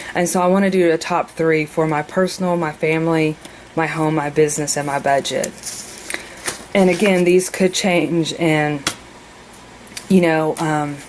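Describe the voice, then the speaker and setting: A woman speaks at a moderate pace with a fairly low pitch and monotone, flat intonation. She leaves long, frequent pauses. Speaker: mother. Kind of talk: casual planner walkthrough to camera.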